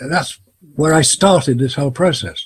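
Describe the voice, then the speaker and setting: Speaking at a moderate pace with an English accent, a man shows ordinary pitch variation and a somewhat breathy voice. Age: 70s. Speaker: photography expert and Apollo skeptic. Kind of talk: interview.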